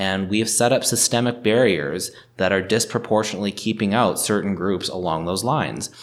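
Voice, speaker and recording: This man has a plain, everyday voice with a Canadian accent. His pitch sits fairly low with ordinary variation, and he talks at a fairly quick pace. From Northern Ontario, Canada. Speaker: lawyer and municipal councillor. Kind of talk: interview.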